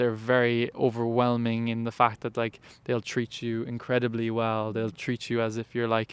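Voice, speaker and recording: Speaking in a Cork accent, a man talks at a moderate pace and medium pitch with monotone, flat intonation and hardly any pauses. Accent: Cork Irish. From Ireland, west Cork. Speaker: college athlete. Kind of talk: interview. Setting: indoor arena. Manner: halting.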